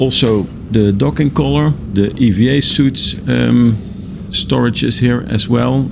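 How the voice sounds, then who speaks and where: A man talks in a fairly low pitch while music plays in the background. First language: not English. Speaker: gaming video creator. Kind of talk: game tour commentary. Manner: halting, many fillers.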